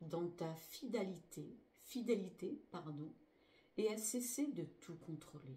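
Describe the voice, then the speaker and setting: A woman with a fairly low pitch speaks at a very slow pace. Her intonation stays lively throughout. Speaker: spiritual healer. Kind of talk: spiritual teaching.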